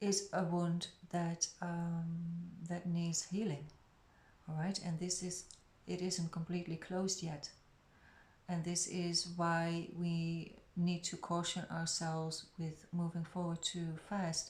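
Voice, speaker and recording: A woman speaks at a very slow pace with long, frequent pauses. Her voice is somewhat breathy, and her intonation is monotone and flat. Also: fairly low pitch for a woman. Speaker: tarot reader. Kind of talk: tarot reading. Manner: lower and quieter; hesitant.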